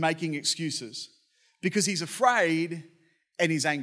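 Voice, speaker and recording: A man with an Australian accent, high-pitched, with ordinary pitch variation and a moderate pace, on a very clean recording with a silent background. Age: 30s. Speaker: pastor. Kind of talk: sermon.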